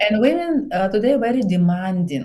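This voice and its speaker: Somewhat breathy and dark, mellow in tone, a woman with a Bulgarian accent speaks at a fairly high pitch with very wide pitch swings. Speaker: psychologist and relationship coach. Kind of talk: podcast interview. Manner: halting, broken English.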